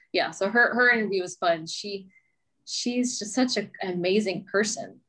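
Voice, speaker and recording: A woman speaks with an American accent in a bright, sharp tone. Her voice sits at medium pitch with ordinary pitch variation at a moderate pace. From US South, Mobile, Alabama. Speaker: real estate agent and podcast host. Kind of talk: casual interview chat.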